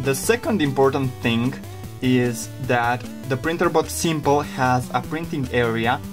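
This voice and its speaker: Music plays in the background as a man speaks with lively intonation at a medium pitch. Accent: non-native. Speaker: 3D printing hobbyist. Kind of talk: casual tutorial talk to camera.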